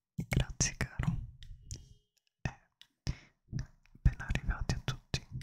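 This man whispers his words. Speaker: ASMR streamer. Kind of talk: live stream chat with viewers. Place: home room. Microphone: studio mic.

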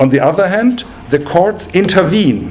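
A man's lively intonation moves at a moderate pace, with light background noise behind him. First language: German. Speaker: law professor. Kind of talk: lecture. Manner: formal. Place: meeting room.

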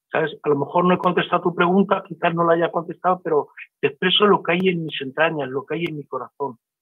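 A man's high-pitched voice at a fairly quick pace, with ordinary pitch variation over a quiet background. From Spain. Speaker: church member. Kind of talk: testimony. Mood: heartfelt, emotional. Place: home room. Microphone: video call.

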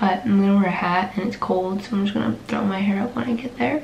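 Light background noise sits under an audible room echo. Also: woman. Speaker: nursing student vlogger. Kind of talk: casual vlog chat. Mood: relaxed, chatty, a bit sleepy. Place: home room.

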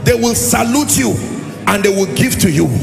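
A man speaks with clear music in the background. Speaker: preacher. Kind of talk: sermon. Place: hall. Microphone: handheld.

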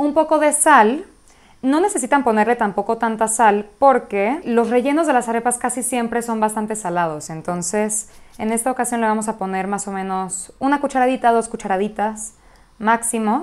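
A woman with a Mexican accent speaks at a moderate pace in a warm tone, her fairly high pitch showing ordinary variation. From Mexico City, Venezuelan family. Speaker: cooking blogger. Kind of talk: cooking tutorial. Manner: warm, casual. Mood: warm and enthusiastic. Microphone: lapel.

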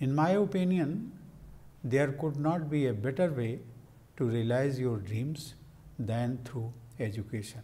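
Somewhat breathy and dark, mellow in tone, a man speaks at a fairly slow pace with long, frequent pauses. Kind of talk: formal speech. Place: office. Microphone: lapel.

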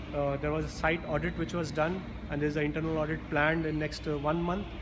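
A man speaks over noticeable background noise. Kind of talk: interview answer. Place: hall.

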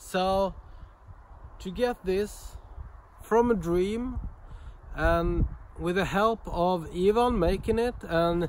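Over light background noise, a man speaks at a high pitch, the sound dry with no echo. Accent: Swedish. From Sweden. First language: Swedish. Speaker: knife and axe thrower, YouTuber. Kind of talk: casual video vlog. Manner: animated. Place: garden. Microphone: phone near.

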